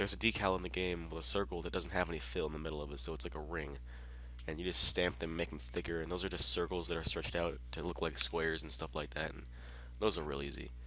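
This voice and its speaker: The voice has a bright, sharp tone with vocal fry and ordinary pitch variation. It races along at a very fast pace. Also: man, very deep, low pitch for a man. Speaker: gaming YouTuber. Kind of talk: game tutorial walkthrough. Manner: casual with frequent fillers.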